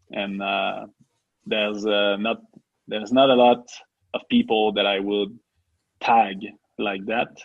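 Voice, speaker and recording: Speaking in a French accent, a man talks very slowly in a monotone, flat delivery with long, frequent pauses. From Quebec. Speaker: podcast co-host. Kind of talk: casual chat.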